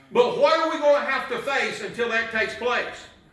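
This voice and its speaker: Projected and raised, a man's voice sits at an extremely high pitch, moving at a fairly quick pace with ordinary pitch variation, amid noticeable background noise and audible room echo. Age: 60s. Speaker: pastor. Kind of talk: sermon. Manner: animated.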